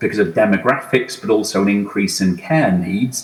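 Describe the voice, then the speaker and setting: Against noticeable background noise, the speaker's pitch varies in an ordinary way. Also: man. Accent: British. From UK. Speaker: HR executive, conference speaker. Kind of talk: conference talk. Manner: hesitant, many fillers.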